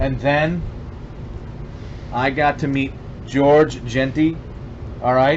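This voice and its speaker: Over noticeable background noise, a man with a fairly high pitch speaks at a fairly slow pace in a monotone, flat intonation. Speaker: veteran YouTuber and small business owner. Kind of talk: casual vlog talk to camera. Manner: halting, stumbling over words.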